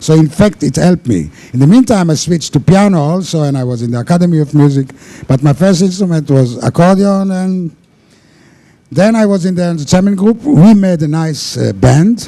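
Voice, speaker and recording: A man's high voice, fairly quick and lively in intonation. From Israel (Holon). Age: 60s. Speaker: cocktail pianist. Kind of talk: casual interview. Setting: cruise ship TV show. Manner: halting.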